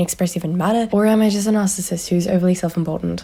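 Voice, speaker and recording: Noticeable background noise sits behind a woman whose pitch is fairly low. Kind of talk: casual commentary to camera. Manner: monotone.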